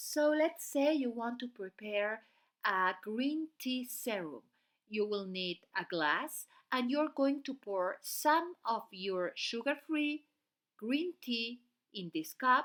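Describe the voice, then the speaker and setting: With a non-native accent, the speaker talks at a very slow pace with very wide pitch swings on a very clean recording with a silent background. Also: woman, high pitch for a woman. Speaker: beauty channel host. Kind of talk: tutorial.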